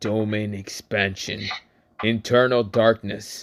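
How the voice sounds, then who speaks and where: In a put-on character voice, a man speaks fairly low and raspy at a fairly slow pace. His intonation is monotone and flat. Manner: menacing anime-style incantation.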